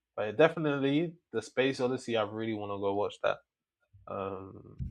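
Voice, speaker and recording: A man with a London accent speaks with ordinary pitch variation. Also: medium pitch for a man, moderate pace. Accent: London English with Nigerian roots. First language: Yoruba. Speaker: film podcast co-host. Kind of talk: casual chat. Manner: halting.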